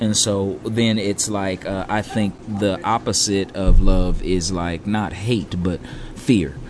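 Over noticeable background noise, a man with an American accent and a fairly low pitch speaks at a very slow pace with fairly even intonation. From California. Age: 30s. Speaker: restaurant owner. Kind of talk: casual interview. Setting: on-site recording at restaurant.

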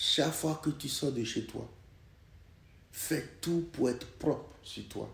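This man talks at a very slow pace, with long, frequent pauses. His voice has vocal fry and ordinary pitch variation. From Togo. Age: 70s. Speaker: podcast host's father. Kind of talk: personal testimony.

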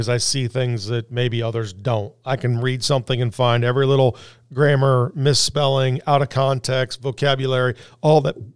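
A man talks in an ordinary speaking voice at a medium pitch and a moderate pace. His intonation is fairly even, and the recording is very clean with a silent background. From Indianapolis, US Midwest. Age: 50s. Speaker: business owner. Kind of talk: interview.

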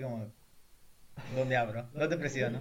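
Audible room echo surrounds a man's voice. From southern Ecuador (El Oro). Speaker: podcast co-host, university student. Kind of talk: casual chat.

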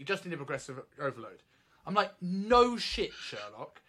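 A man talks at a fairly quick pace in a British accent. His pitch is high and swings very widely. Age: 30s. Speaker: personal trainer and coach educator. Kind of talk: casual chat. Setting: remote recording. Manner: halting, repeats words.

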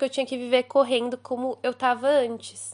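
Over a quiet background, a woman speaks with a high pitch at a moderate pace. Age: 20s. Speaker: recent graduate, friend of host. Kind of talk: recorded voice message testimony. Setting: recorded voice message.

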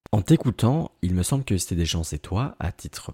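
In a very clean recording with a silent background, a man with a dark, mellow, somewhat breathy tone speaks at a moderate pace, the sound dry and close with no echo. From Paris suburbs (Aubervilliers, Seine-Saint-Denis). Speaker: podcast host. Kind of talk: scripted interview questions.

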